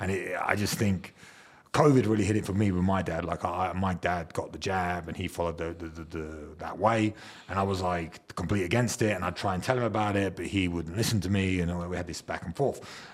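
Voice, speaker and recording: Over noticeable background noise, a man with a very deep, low pitch talks at a fairly quick pace with fairly even intonation. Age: 30s. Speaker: podcast host. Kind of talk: casual chat.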